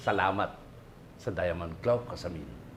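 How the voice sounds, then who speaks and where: Vocal fry runs through a man's speech, which has lively intonation. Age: 50s. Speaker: construction worker. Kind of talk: testimonial.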